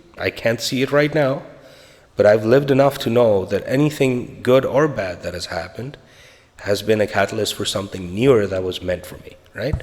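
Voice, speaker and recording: Speaking with a Spanish accent, a man uses a medium pitch with big swings in loudness. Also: ordinary pitch variation, moderate pace. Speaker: podcaster on a spiritual journey. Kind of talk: personal storytelling monologue. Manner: casual, conversational.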